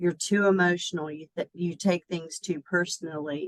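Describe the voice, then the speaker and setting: With an American accent, this voice moves at a moderate pace with fairly even intonation, recorded dry and close with no echo. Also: woman. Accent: Southern US, toned down. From US South. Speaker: executive coach. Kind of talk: interview. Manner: hesitant, many fillers.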